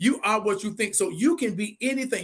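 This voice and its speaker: A man speaks at a moderate pace in an animated tone with ordinary pitch variation. The recording is very clean with a silent background. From Muskegon, Michigan. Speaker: pastor and live show host. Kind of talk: casual interview chat. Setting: Facebook and YouTube live stream. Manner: animated, preacherly.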